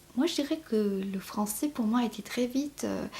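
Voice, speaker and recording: A woman with a Mauritian accent speaks at a very slow pace with ordinary pitch variation. Noticeable background noise runs underneath. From Mauritius. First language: Mauritian Creole (speaking French). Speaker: novelist. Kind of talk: interview. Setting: at home in her apartment. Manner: halting, many fillers.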